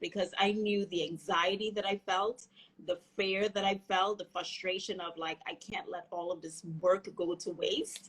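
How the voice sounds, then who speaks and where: A woman keeps a medium pitch and fairly even intonation, talking at a fairly slow pace. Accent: slight Trinidadian. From Trinidad and Tobago. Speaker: physical therapist. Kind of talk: interview.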